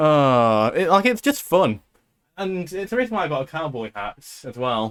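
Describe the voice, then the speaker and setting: A man talks at a moderate pace with a British accent. His pitch swings very widely and his loudness shifts a lot, with a dry, close sound and no echo. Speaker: podcast host and streamer. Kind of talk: casual chat. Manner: animated.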